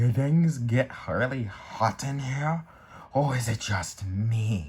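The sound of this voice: A put-on character voice from a man, medium in pitch and very slow.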